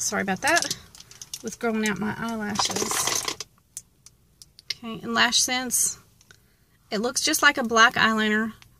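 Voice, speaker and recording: Speaking with a Southern US accent, a woman with a fairly high pitch talks at a fairly slow pace with long, frequent pauses and ordinary pitch variation, over noticeable background noise. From US South. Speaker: beauty vlogger. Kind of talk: makeup tutorial. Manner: casual, chatty.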